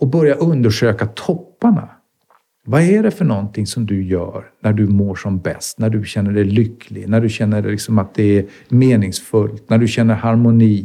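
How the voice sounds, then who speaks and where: At a moderate pace, this voice shows ordinary pitch variation. Its tone is dark and mellow. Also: man, fairly low pitch for a man. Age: 50s. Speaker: leadership consultant. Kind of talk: casual chat.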